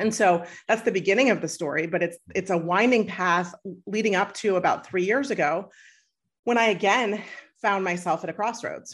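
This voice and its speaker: A woman talks at a moderate pace and medium pitch, in a plain, everyday voice. Her loudness stays very even, her pitch varies in an ordinary way, and the background is quiet. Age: 40s. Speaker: happiness coach. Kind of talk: interview conversation.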